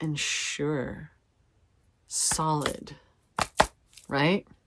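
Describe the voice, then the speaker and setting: The recording is very clean, with a silent background. A woman speaks at a very deep, low pitch. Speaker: tarot reader. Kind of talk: tarot reading. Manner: casual, conversational.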